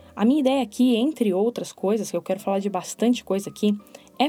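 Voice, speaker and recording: Lively intonation marks a woman's speech, heard with noticeable background noise. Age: 30s. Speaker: podcast host. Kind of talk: solo podcast monologue. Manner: expressive.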